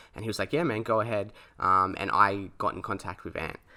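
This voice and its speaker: A man talks at a fairly quick pace with an Australian accent. His tone is bright and sharp. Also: very clean recording, silent background. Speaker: podcast host. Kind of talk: personal storytelling. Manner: halting, many fillers.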